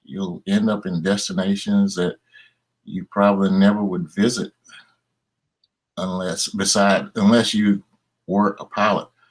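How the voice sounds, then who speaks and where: With a Southern US accent, a man speaks at a fairly low pitch in a monotone, flat way, slowly enough to be fairly slow, with long, frequent pauses. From Tennessee, USA. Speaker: airline captain. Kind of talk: interview answer.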